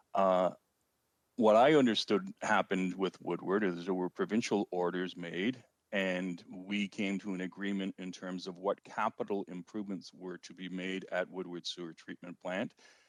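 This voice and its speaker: A moderate pace with an Ontario accent, big swings in loudness and fairly even intonation, in a dry, close sound with no echo. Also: man, very deep, low pitch for a man. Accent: Canadian (Ontario). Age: 60s. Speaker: city councillor. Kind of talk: council meeting debate.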